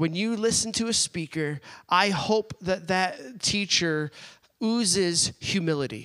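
A man talks very slowly in a high, bright, sharp tone with ordinary pitch variation, recorded dry and close with no echo. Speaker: church pastor introducing speaker. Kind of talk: introduction from the pulpit.

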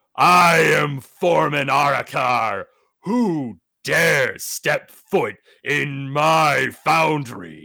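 A man puts on a growling, raspy character voice at a fairly high pitch, speaking at a very slow pace. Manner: growling, imposing.

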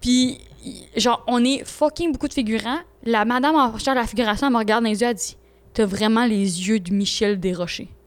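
A woman speaks fairly quickly in a Quebec accent, her pitch fairly high with ordinary variation. The recording is very clean, with a silent background. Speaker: podcast co-host. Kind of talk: casual chat.

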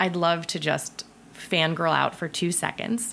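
Her pitch is fairly low for a woman. She speaks with an American accent. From US Midwest, Ohio. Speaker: film director. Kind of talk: casual chat.

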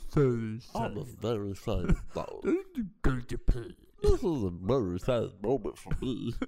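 This put-on character voice carries a sad tone at a moderate pace with hardly any pauses. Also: man, medium pitch for a man. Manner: sad, mournful, droopy.

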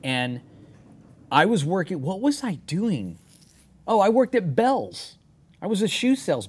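A high-pitched man with an American accent, very wide pitch swings and long, frequent pauses. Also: moderate pace. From Texas, San Antonio. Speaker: motorcycle builder and former rock drummer. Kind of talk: casual chat. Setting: studio.

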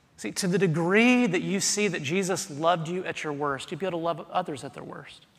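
In an American accent, the speaker moves at a very fast pace with ordinary pitch variation. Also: man, high pitch for a man. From US South. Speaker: pastor. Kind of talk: sermon. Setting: church.

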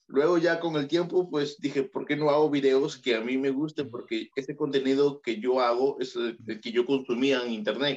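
With a Peruvian accent, a man speaks at a moderate pace with hardly any pauses. His pitch is fairly high and his intonation fairly even. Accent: Peruvian Spanish, heard as Mexican by others. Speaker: YouTuber and photographer. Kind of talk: casual interview.

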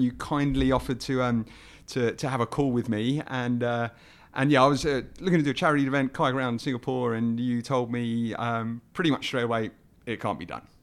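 A man's voice at medium pitch, with a fairly quick pace and fairly even intonation. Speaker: podcast host. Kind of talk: casual interview. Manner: halting, many fillers.

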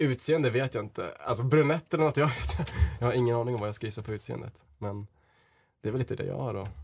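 Vocal fry runs through this man's voice. He talks at a very fast pace. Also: medium pitch for a man, ordinary pitch variation. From Sweden, Dalarna (Leksand). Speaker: blind date contestant. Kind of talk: casual chat. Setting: studio. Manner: halting.

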